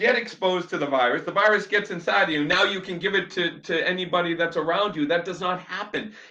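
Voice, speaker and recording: The speaker is shouting in a raised, projected voice with an animated tone. The pace is moderate and the pitch variation is ordinary. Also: man. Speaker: chiropractor/health vlogger. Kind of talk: live-stream rant to viewers. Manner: loud, shouting; animated, fired up.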